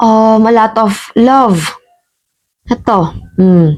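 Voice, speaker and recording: A woman's fairly high voice with lively intonation. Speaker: tarot reader. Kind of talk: tarot reading. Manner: casual, conversational.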